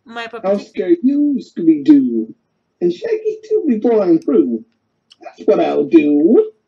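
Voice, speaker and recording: A put-on character voice at a fairly high pitch. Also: fairly slow pace. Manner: menacing.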